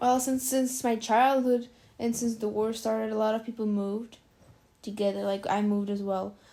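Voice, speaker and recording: A woman's dark, mellow tone at a fairly high pitch, monotone and flat in intonation, at a moderate pace. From Ukraine, Dnipro. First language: Russian. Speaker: immigrant interviewee. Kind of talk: casual interview. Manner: hesitant, filler-heavy.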